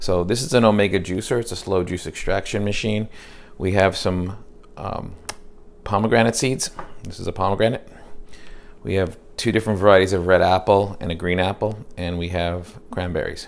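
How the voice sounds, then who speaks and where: Using an unremarkable speaking voice, a man with a fairly low pitch talks at a moderate pace with fairly even intonation. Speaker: home cook demonstrating a juicer. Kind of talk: tutorial. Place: kitchen. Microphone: lapel.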